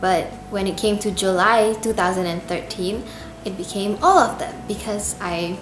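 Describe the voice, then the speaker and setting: The speaker keeps a moderate pace and fairly even intonation, with audible room echo and noticeable background noise. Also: woman, medium pitch for a woman. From Indonesia. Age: 20s. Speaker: YouTube cover singer. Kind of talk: casual Q&A vlog.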